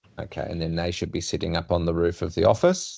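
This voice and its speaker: Against a quiet background, someone speaks with an Australian accent. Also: man. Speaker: urban designer presenting to client. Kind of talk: work meeting presentation.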